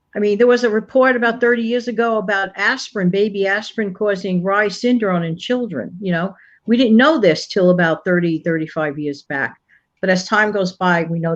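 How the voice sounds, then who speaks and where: An unremarkable speaking voice with lively intonation comes through against a quiet background. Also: woman. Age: 60s. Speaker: channel contributor. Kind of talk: casual chat.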